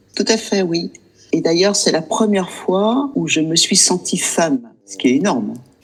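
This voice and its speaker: Her pitch fairly low, a woman's voice swings very widely in pitch against noticeable background noise. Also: fairly slow pace. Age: 60s. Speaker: client sharing experience. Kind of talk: interview testimony.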